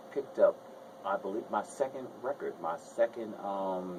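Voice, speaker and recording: A man speaks with a New Jersey accent and lively intonation at a moderate pace. Noticeable background noise sits behind him. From New Jersey, Essex County. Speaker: singer. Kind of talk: radio interview.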